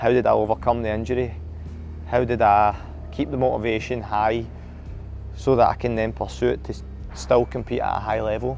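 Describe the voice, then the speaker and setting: A man with a Scottish accent. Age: 30s. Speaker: HYROX athlete. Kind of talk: candid reflective monologue.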